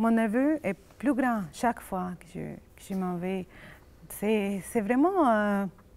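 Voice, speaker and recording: Speaking very slowly with a Spanish accent, a woman uses a fairly high pitch with ordinary variation and big swings in loudness, on a very clean recording with a silent background. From Colombia. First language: Spanish (speaking French). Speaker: immigrant psychologist. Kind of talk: casual chat. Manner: halting.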